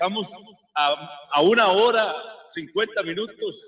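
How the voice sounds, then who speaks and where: Raising and projecting his voice, a man speaks at a high pitch. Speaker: football pundit. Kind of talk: casual chat. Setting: remote broadcast from a sports bar restaurant.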